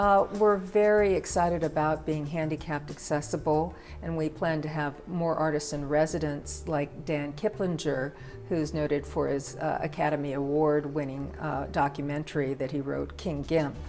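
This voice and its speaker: A woman's very deep, low-pitched voice, with music in the background. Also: ordinary pitch variation, moderate pace. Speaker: arts center director. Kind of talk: interview answer.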